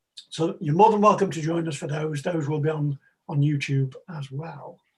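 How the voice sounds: A man speaks at a moderate pace with a fairly high pitch and fairly even intonation. His tone is slightly mellow with a slightly husky edge.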